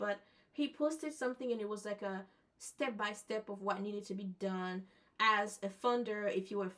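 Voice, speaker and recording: A woman with a French accent, medium in pitch, her intonation fairly even. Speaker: event host and vlogger. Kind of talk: casual vlog narration. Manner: halting, self-correcting.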